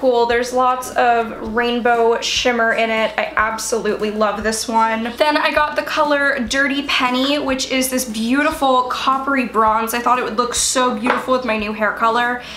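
A woman speaks at a moderate pace in a high pitch, with fairly even intonation, very even loudness and hardly any pauses, in a room with audible echo and light background noise. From US Mid-Atlantic, Baltimore; Maryland. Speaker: beauty YouTuber. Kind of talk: product haul video.

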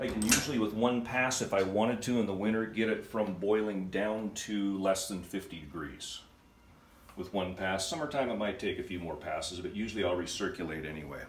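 Speech at a fairly quick pace comes through with light background noise and audible room echo. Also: man. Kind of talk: casual tour explanation. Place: home room. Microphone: phone near.

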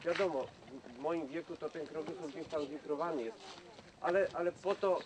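Pitched high, a man talks at a fairly quick pace with ordinary pitch variation. Noticeable background noise can be heard. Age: 50s. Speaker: Nordic walking champion and instructor; instructor. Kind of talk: outdoor instruction to a group. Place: forest. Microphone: camera far.

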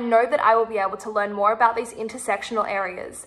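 A woman with a fairly high voice and an Australian accent talks at a fairly quick pace. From Sydney, Australia. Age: 20s. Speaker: university student. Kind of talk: application video statement. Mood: confident, earnest, friendly. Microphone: phone near.

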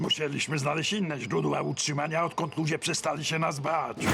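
A put-on character voice from a man, fairly high-pitched and fairly quick, over clear background noise. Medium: fan dub. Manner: tired, glum.

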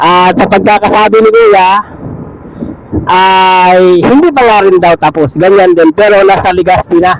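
Over noticeable background noise, the speech goes at a fairly slow pace with very even loudness and fairly even intonation. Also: man, high pitch for a man. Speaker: motovlogger. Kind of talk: vlog narration.

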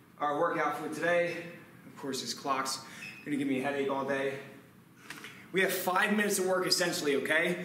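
A high-pitched man at a fairly quick pace, with ordinary pitch variation, audible room echo and light background noise. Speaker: fitness coach. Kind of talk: workout instruction. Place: gym.

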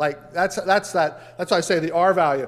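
Faint music runs under a man's speech. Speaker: pastor. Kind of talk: sermon. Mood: humorous, lively. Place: church. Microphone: podium.

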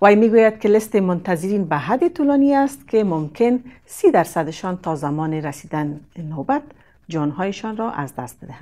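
A woman speaks at a fairly quick pace in a medium pitch with a dark, mellow tone. Her loudness swings widely, and her pitch swings very wide. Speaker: news presenter. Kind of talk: news reading. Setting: studio. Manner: formal; steady, measured delivery.

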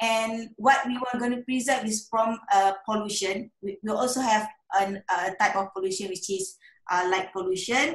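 Somewhat breathy, a woman speaks at a moderate pace with ordinary pitch variation, audible room echo and a quiet background. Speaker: guest. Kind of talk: presentation talk. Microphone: video call.

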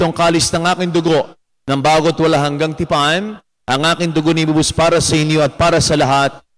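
Against a quiet background, a man talks at a fairly quick pace in a fairly high pitch with monotone, flat intonation. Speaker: priest. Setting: church. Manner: formal, solemn, devout. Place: church.

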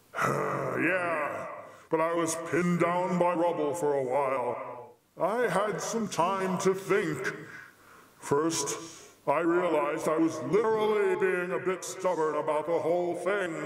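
Someone performs a put-on character voice at a fairly slow pace. A clear echo surrounds it. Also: man, high pitch for a man. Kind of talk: comic sketch acting. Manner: casual, chatty, flippant.

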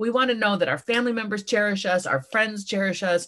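A woman's medium-pitched voice against a quiet background. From US. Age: 50s. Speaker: author and speaker; speaker. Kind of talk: motivational talk. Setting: video call. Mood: warm, earnest. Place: home room. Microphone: video call.

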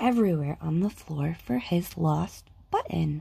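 A woman speaks with a dark, mellow tone, a slightly husky edge and some vocal fry.

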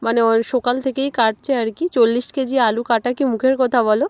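A soft-spoken voice in a dry, close sound with no echo, against noticeable background noise. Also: woman. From West Bengal, Sundarbans village. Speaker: village vlogger. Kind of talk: casual vlog narration.

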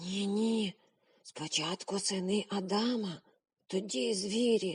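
A woman whispers in a raspy, put-on character voice at a fairly slow pace. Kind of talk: urging, anxious. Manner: whispering.

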